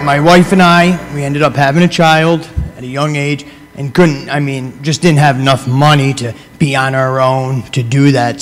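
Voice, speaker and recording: Over noticeable background noise, a man with an American accent talks at a moderate pace and fairly high pitch, with fairly even intonation. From upstate New York. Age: 30s. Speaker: motivational speaker on addiction recovery. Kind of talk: talk to students. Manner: conversational.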